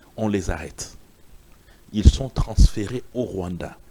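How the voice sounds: A man with a fairly low pitch and a dark, mellow tone at a moderate pace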